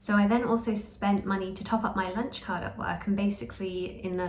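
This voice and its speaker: A woman speaks with medium pitch and fairly even intonation. Audible room echo surrounds her voice. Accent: British. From Britain. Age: 20s. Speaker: lifestyle vlogger. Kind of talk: casual vlog talk.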